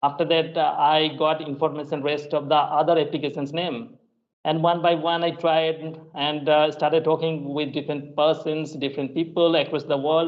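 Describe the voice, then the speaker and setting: A man speaks at a moderate pace with monotone, flat intonation. His pitch is fairly high. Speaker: English teacher. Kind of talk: casual chat. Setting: video call.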